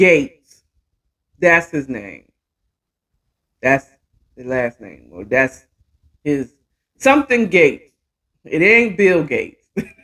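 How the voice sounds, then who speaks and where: Very deep and low in pitch, a woman speaks at a very slow pace with vocal fry and long, frequent pauses. Her pitch swings very widely, and her loudness swings a lot too. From DMV area (Washington DC region), US. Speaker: talk show host. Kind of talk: casual chat.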